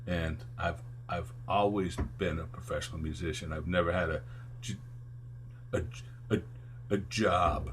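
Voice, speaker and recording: A man with a very deep, low pitch and vocal fry swings very widely in pitch. He goes at a fairly slow pace with long, frequent pauses, and audible room echo surrounds him. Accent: American. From upstate New York (Albany area). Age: 60s. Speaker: musician and music teacher. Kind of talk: interview. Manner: rambling, halting with fillers.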